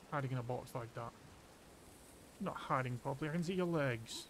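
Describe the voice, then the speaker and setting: A somewhat breathy man at a medium pitch, talking at a fairly quick pace. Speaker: streamer. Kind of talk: casual gameplay commentary. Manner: monotone.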